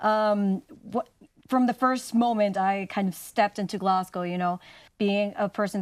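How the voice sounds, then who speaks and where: On a very clean recording with a silent background, a woman of medium pitch speaks with a Spanish accent. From Mexico. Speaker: university student. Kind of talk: interview.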